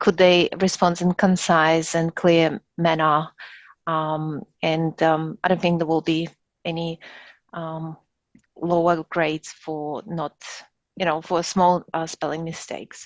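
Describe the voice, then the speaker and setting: Against a quiet background, a woman with a non-native accent speaks very slowly at a fairly low pitch in a monotone, flat intonation, with a dry, close sound and no echo. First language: not English. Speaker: top-performing graduate of a professional diploma. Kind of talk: webinar Q&A. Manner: halting, many fillers.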